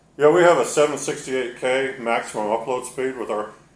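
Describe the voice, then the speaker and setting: A man's medium-pitched voice with a slight Texas accent, heard with audible room echo. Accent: slight Texas drawl picked up. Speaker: carpet cleaner. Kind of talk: casual chat during tutorial demo. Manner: slurs words together.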